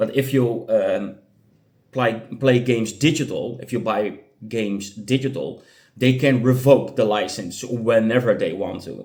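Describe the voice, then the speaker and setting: A man with a non-native accent speaks at medium pitch. His delivery is fairly slow with fairly even intonation. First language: not English. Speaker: gaming youtuber. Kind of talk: casual commentary. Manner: halting, many fillers.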